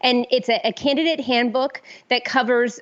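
An ordinary speaking voice. The pace is moderate. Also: woman. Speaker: conservative activist. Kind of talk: interview.

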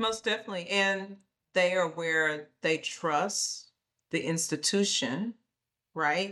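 A woman with an American accent, bright and sharp in tone, at a very slow pace and very even loudness, on a very clean recording with a silent background. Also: medium pitch for a woman, ordinary pitch variation. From rural United States. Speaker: health nonprofit executive. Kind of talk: interview.

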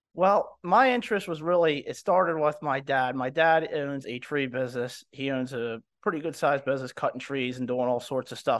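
A man talks in a normal speaking voice at a moderate pace. His pitch varies in an ordinary way over a quiet background. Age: 30s. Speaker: diesel repair business owner. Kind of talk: casual interview.

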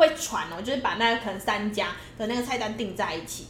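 Over noticeable background noise and audible room echo, a woman talks at a fairly quick pace with a fairly high pitch. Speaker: podcast co-host. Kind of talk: casual chat.

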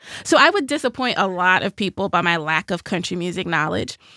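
Recorded very cleanly against a silent background, a woman with a Nashville accent speaks in a bright, sharp tone, the sound dry and close with no echo. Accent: Southern US (Nashville). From Nashville, Tennessee. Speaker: podcast host. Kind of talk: casual conversational podcast with ad reads.

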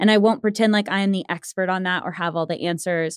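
A woman with a Midwestern American accent, fairly low in pitch with ordinary variation, at a fairly quick pace, in a dry, close sound with no echo and a very clean recording over a silent background. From Missouri, Springfield. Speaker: career services director at a coding school. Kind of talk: casual interview.

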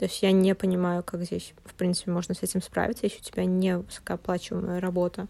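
A woman speaks at a very fast pace. She leaves hardly any pauses. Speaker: podcast host. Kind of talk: casual chat.

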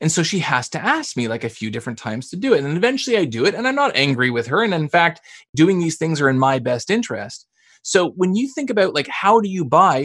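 Against a quiet background, a man with a Canadian accent talks at a very fast pace. His voice is fairly high, with very wide pitch swings. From Canada. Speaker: sales author and trainer. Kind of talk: podcast interview.

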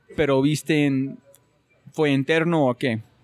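This man has an unremarkable speaking voice, pitched fairly high. His intonation stays fairly even, and the sound is dry and close with no echo. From United States. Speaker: podcast host. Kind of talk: interview conversation.

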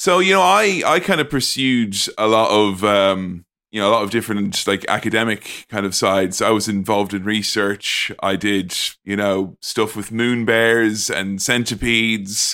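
A man with an Irish accent, a fairly low pitch and a bright, sharp tone, at a moderate pace with ordinary pitch variation, on a very clean recording with a silent background. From Ireland. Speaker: podcaster. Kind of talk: casual chat.

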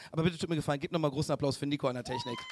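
Noticeable background noise surrounds a man speaking at a fairly high pitch with ordinary pitch variation. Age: 30s. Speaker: comedian. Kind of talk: show closing announcement; live show chat. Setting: stage with audience.

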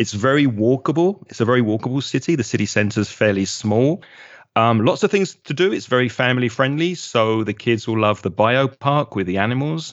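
Talking at a fairly quick pace in a London accent, a man keeps a medium pitch with lively intonation. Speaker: English teacher. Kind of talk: interview.

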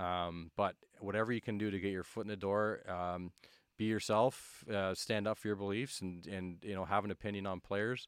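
A fairly low male voice at a moderate pace with fairly even intonation, in a very clean recording with a silent background and a dry, close sound with no echo. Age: 30s. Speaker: pro hockey scout. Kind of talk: casual interview. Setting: studio. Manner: halting, many fillers.

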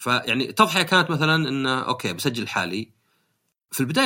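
A man's medium-pitched voice, bright and sharp in tone, at a fairly quick pace, on a very clean recording with a silent background. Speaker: podcast host. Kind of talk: casual chat.

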